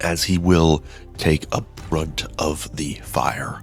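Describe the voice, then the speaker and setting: Music plays in the background as a soft-spoken man talks in a very deep, low voice. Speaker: mobile game video creator. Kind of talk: game guide commentary. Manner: soft, quiet.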